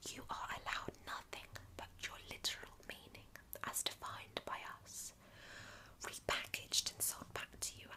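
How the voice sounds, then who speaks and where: Over noticeable background noise, the whispering goes at a fairly slow pace. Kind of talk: ASMR audiobook reading of a philosophical essay. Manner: whispered, soft-spoken.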